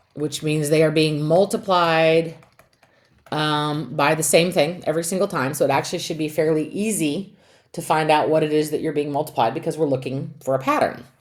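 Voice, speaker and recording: A woman with a very deep, low pitch and fairly even intonation, with audible room echo. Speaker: math teacher. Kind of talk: lecture.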